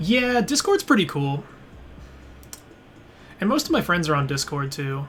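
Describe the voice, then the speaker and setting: With music in the background, a man speaks in a relaxed tone at a moderate pace, his high voice making very wide pitch swings, broken by long, frequent pauses. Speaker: game streamer. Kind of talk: casual live-stream commentary while playing. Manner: relaxed, hesitant.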